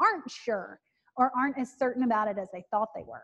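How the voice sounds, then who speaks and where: Speaking with a Southern US accent, a woman talks at a high pitch. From rural Alabama, US South. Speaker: professor. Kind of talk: lecture Q&A. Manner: loud; preacher-like delivery.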